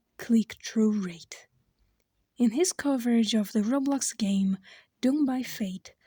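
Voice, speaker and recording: A non-native accent colors the speech. It moves at a fairly slow pace. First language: not English. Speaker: YouTube commentary creator. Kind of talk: scripted commentary narration.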